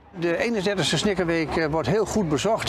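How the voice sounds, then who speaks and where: Noticeable background noise is present throughout. Over it, a man speaks at a moderate pace. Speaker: festival organizer. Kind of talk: interview. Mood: calm, pleased. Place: waterside. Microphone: lapel.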